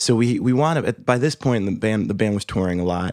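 A man with an unremarkable speaking voice, medium in pitch with ordinary pitch variation, in an American accent. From Boston. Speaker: working musician. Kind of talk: casual chat.

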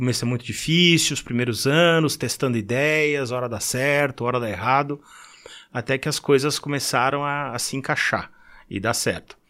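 On a very clean recording with a silent background, a man uses an ordinary speaking voice at medium pitch and fairly even intonation. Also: moderate pace. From Brazil, São Paulo city. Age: 50s. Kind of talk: casual chat.

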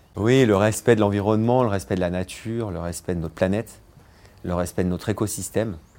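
Fairly low-pitched and dark, mellow in tone, a man talks at a fairly quick pace with fairly even intonation. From France, Vercors near Grenoble. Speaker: chef. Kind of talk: interview testimony. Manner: halting, many repetitions.

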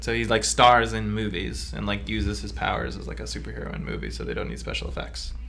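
Over noticeable background noise, a man with a very deep, low voice speaks at a very fast pace in a monotone, flat intonation. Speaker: podcast co-host. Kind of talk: casual chat about comics.

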